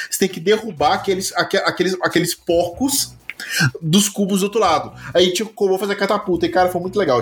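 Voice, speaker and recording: Noticeable background noise runs beneath a man speaking very fast in a high pitch. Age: 30s. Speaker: podcast co-host. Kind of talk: casual chat.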